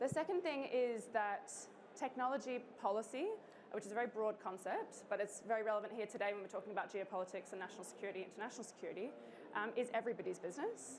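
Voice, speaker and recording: Very fast pace with ordinary pitch variation over noticeable background noise. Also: woman, fairly high pitch for a woman. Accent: Australian. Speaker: think tank co-founder. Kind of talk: conference talk. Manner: casual, with many filler sounds.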